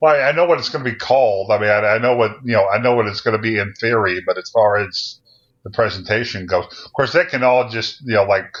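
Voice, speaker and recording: Speaking very fast, a man uses ordinary pitch variation. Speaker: podcast co-host. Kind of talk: casual chat.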